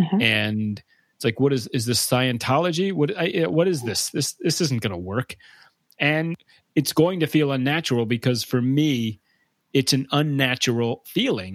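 In an ordinary speaking voice, a man of medium pitch talks at a moderate pace with lively intonation, captured as a very clean recording with a silent background and a dry, close sound with no echo. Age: 30s. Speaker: podcast host and comedian. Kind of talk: casual interview chat; solo monologue.

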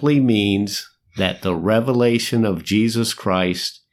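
Against a quiet background comes a natural reading voice with ordinary pitch variation.

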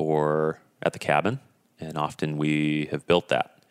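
In an Upper Midwest accent, the speaker is heard with a dry, close sound with no echo. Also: man. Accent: Upper Midwest (Minnesota). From northern Minnesota. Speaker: sauna business owner. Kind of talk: interview conversation.

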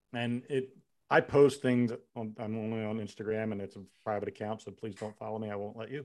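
A plain, everyday voice, a man at medium pitch with fairly even intonation, big swings in loudness and a fairly quick pace. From Philadelphia area, US. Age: 50s. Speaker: law enforcement officer and army veteran. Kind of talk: casual chat.

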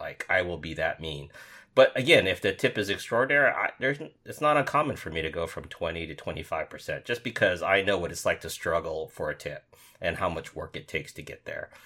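The recording is very clean with a silent background as a man talks at a fairly quick pace. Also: big swings in loudness. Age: 50s. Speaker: information security podcast co-host. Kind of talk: casual chat.

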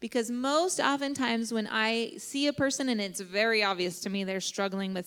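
In an unremarkable speaking voice, a woman with an American accent talks at a moderate pace, her fairly high pitch showing ordinary variation. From Kansas. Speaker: therapist. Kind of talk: interview. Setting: church.

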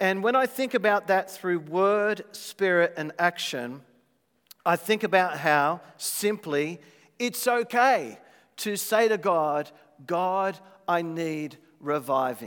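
In a very clean recording with a silent background, a man with an Australian accent talks very slowly at a high pitch, with lively intonation. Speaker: visiting worship leader and preacher. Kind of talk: sermon. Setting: church.

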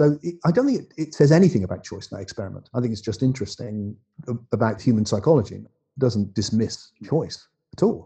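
A man with an English accent talks at a very fast pace in a dark, mellow, somewhat breathy tone, with lively intonation and big swings in loudness. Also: medium pitch for a man. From England. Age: 60s. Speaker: philosopher and author. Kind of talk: casual chat.

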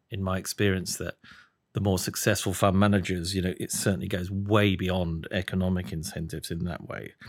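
A man with a British accent, very deep and low in pitch, monotone and flat, at a fairly quick pace. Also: very clean recording, silent background. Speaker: fund selector and guest interviewer. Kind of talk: casual interview.

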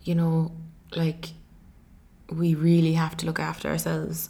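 A woman with an Irish accent at a fairly slow pace. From Ireland. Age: 20s. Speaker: podcast host and life coach. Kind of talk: solo podcast monologue. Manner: many filler ums.

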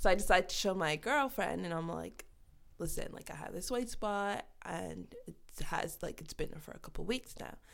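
At a moderate pace, a woman talks with big swings in loudness. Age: 30s. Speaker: vitiligo advocate, foundation founder. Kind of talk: casual interview chat. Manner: laughs a lot.

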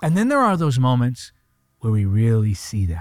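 A man's medium-pitched voice on a very clean recording with a silent background. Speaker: preacher. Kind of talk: fervent prayer. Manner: impassioned, intimate; earnest, persuasive.

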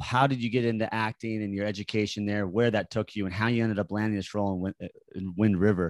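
The speaker is a man with an American accent. His medium-pitched voice moves at a fairly quick pace. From Utah (Park City). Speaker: podcast host. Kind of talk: casual chat. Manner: animated.

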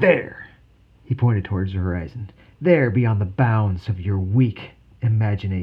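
Plain reading aloud comes through here, and the pitch shows ordinary variation.

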